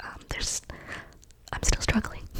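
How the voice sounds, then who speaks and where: With noticeable background noise around her, a woman is whispering. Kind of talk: ASMR whisper ramble update; casual talk to camera. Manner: whispered, soft-spoken.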